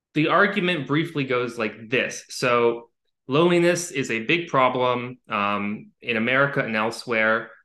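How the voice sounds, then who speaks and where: In a quiet background, a man with an unremarkable speaking voice talks at a fairly slow pace, with medium pitch and ordinary pitch variation. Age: 20s. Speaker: writer on mental health science. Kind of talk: casual interview.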